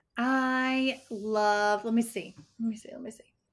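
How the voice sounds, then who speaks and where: A woman with an unremarkable speaking voice talks at a fairly slow pace and a fairly high pitch, with ordinary pitch variation, on a very clean recording with a silent background. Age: 30s. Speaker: weight loss coach. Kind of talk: interview.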